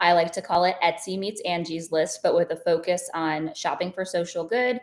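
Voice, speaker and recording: Heard on a very clean recording with a silent background, a woman uses an ordinary speaking voice with fairly even intonation at a moderate pace. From Ohio, US Midwest. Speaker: entrepreneur and military spouse. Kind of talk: casual interview.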